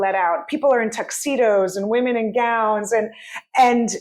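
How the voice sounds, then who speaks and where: The tone is animated. The pace is fairly quick. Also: woman. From San Francisco, US. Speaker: comedian. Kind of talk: casual chat.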